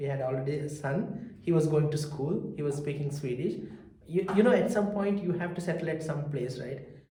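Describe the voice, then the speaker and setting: With a South Indian accent, a man talks at a fairly quick pace with ordinary pitch variation, amid noticeable background noise and audible room echo. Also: fairly high pitch for a man. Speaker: researcher and small business founder. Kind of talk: interview testimony. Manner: halting with fillers.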